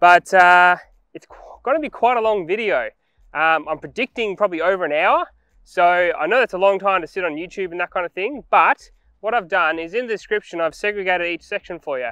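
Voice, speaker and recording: A man's raised, projected voice with a bright, sharp tone and ordinary pitch variation, dry with no echo, over a quiet background. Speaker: vehicle vlogger. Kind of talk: casual vlog chat. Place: forest.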